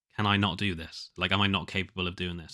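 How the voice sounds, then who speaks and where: A man's nasal, fairly low voice comes through a very clean recording with a silent background. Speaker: solo podcaster and indie musician. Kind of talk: casual diary monologue. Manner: halting, many fillers and restarts.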